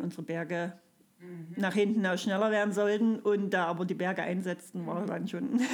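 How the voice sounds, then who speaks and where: The voice moves at a moderate pace with fairly even intonation. Noticeable background noise runs underneath. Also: woman. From Saxony, Erzgebirge (Freiberg area). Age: 40s. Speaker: kindergarten teacher, amateur runner. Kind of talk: casual interview. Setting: hotel room.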